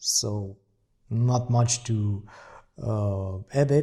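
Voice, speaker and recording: A man with a dark, mellow tone and ordinary pitch variation on a very clean recording with a silent background. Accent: non-native. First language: not English. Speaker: software demo presenter. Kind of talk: software tutorial demo. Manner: hesitant, many fillers.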